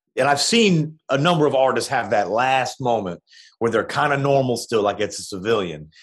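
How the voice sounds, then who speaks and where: Vocal fry and lively intonation at a moderate pace, over a quiet background. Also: man. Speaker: music blogger interviewed about a documentary. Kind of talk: casual interview chat. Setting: remote call.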